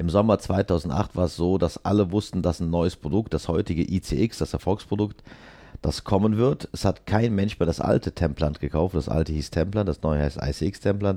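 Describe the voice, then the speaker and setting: Against a quiet background, a man speaks. His voice is very deep and low, with a dark, mellow tone. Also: ordinary pitch variation, moderate pace. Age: 50s. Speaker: dental implant manufacturer. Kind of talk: interview.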